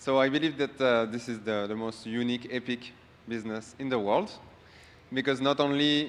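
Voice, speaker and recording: A man speaks with a French accent at a medium pitch. His pace is moderate and his intonation fairly even. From France. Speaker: award-winning business partner. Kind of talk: acceptance speech.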